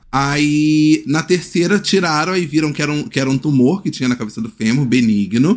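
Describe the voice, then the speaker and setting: A man's fairly high voice carries lively intonation. It is an ordinary speaking voice at a moderate pace. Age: 30s. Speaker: podcast host. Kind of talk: casual chat.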